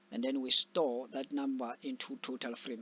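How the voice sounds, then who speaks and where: This man has a non-native accent. He speaks at a fairly slow pace. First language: not English. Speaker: programming tutor. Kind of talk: tutorial. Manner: halting.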